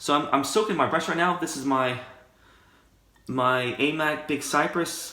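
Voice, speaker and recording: In a room with audible echo, a man with a bright, sharp tone and a fairly high pitch speaks fairly slowly, with ordinary pitch variation and long, frequent pauses. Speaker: wet shaving YouTuber. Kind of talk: casual tutorial monologue. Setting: home shaving room. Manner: soft-spoken.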